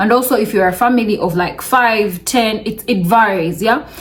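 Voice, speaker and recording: Noticeable background noise sits under a woman's voice. She speaks at a moderate pace and a medium pitch. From Uganda. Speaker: vlogger. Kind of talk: casual vlog talk to camera.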